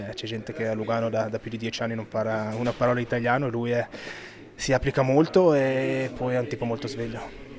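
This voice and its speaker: A man's voice at a fairly quick pace, fairly even in intonation, over noticeable background noise. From Switzerland. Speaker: ice hockey player. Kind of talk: rapid-fire interview. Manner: hesitant, many fillers. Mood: relaxed, friendly. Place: hall. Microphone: handheld.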